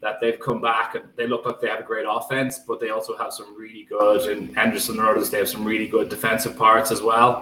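A man with a Dublin accent talks at a fairly quick pace with hardly any pauses, his loudness swinging widely. Noticeable background noise runs under him. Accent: Dublin Irish. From Ireland, County Dublin. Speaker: football writer. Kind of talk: podcast discussion.

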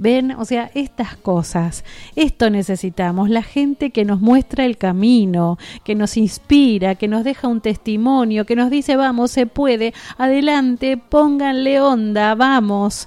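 Slightly slow, a woman speaks in a dark, mellow tone at a fairly high pitch with ordinary pitch variation. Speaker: radio host. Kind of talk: radio chat show. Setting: radio studio. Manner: animated.

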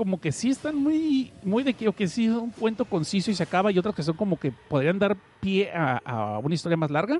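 A high-pitched male voice with very wide pitch swings and a dry, close sound with no echo. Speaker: podcast host. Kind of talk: casual chat. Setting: online radio stream. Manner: fast.

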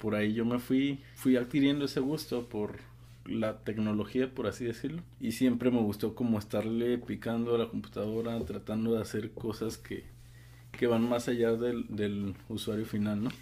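With a dark, mellow tone, a man of medium pitch speaks at a moderate pace and fairly even intonation. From Mexico, Guadalajara. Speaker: engineer. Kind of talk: casual interview.

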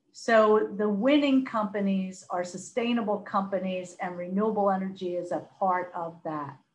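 A woman with an American accent speaks at a moderate pace with hardly any pauses. Her voice is medium in pitch and somewhat breathy, with ordinary pitch variation. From US, Philadelphia. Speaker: corporate sustainability executive. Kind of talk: podcast interview.

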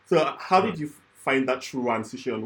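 A man's somewhat breathy voice, moderate in pace, with ordinary pitch variation. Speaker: podcast host. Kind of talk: interview.

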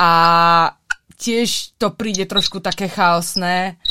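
A woman speaks with lively intonation. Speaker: podcast host. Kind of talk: casual interview.

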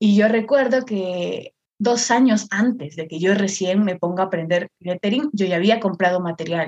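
A woman speaks in a normal speaking voice at medium pitch, with ordinary pitch variation and a moderate pace. She hardly pauses, and the sound is dry and close with no echo. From northern Peru, Chiclayo. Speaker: content creator and artist. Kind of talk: casual chat.

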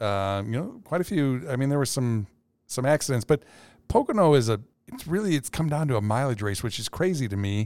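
On a very clean recording with a silent background and a dry, close sound with no echo, a man of medium pitch talks at a fairly quick pace in an unremarkable speaking voice. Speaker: podcast co-host. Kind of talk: casual podcast conversation.

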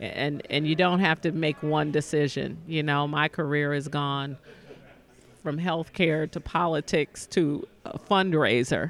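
A woman speaks at a very deep, low pitch. Her pace is fairly slow and her intonation fairly even. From US Midwest, Detroit. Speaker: nonprofit foundation executive. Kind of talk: interview.

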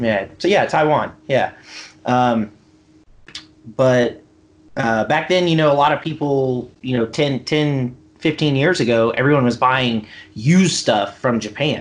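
Speaking in an American accent at a fairly slow pace, a man with medium pitch keeps his loudness very even, uses ordinary pitch variation, and leaves long, frequent pauses. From US South, Mississippi Gulf Coast. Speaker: business founder. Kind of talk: casual chat.

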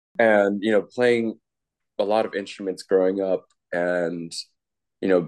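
A man with an American accent, fairly low in pitch, at a fairly slow pace with fairly even intonation over a quiet background. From New Jersey. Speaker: music producer and DJ. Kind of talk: casual interview chat.

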